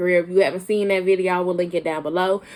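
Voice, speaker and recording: Amid noticeable background noise, a woman with a medium-pitched voice talks at a very fast pace. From Arkansas (Camden), raised from age six; born in Flint, Michigan. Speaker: YouTuber. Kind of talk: casual vlog chat. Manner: casual, halting with fillers.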